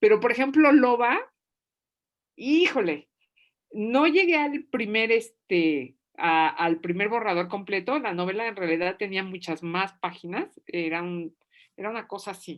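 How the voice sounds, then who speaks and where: Pitched in the medium range, a woman's voice makes very wide pitch swings. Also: fairly slow pace, big swings in loudness. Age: 60s. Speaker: novelist. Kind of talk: writing workshop Q&A. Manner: animated.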